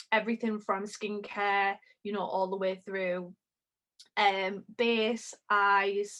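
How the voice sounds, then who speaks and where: A woman with a Geordie accent talks at a very slow pace. Her medium-pitched voice stays in a flat monotone. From northern England, Newcastle. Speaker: makeup artist. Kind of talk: tutorial.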